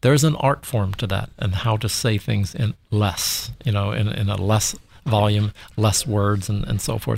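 At a moderate pace, the somewhat breathy voice shows ordinary pitch variation in a very clean recording with a silent background. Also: man. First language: not English. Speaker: creative director. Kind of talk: interview conversation. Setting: in person.

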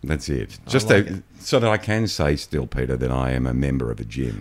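Noticeable background noise sits under a man's very deep, low voice. He talks at a moderate pace with very wide pitch swings. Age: 50s. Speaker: podcast guest. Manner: self-deprecating, jokey.

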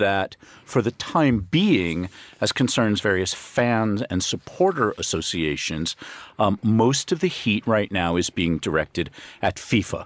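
A man with an American accent speaks in a normal speaking voice at a fairly low pitch and fairly slow pace, with a dry, close sound with no echo on a very clean recording with a silent background. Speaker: risk consultant. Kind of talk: panel discussion. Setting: studio.

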